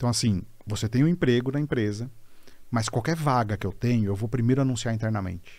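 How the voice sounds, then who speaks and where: Speaking at a fairly quick pace, a man with medium pitch and ordinary pitch variation is heard on a very clean recording with a silent background. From Brazil, São Bernardo do Campo (São Paulo). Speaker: HR executive. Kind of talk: casual interview chat.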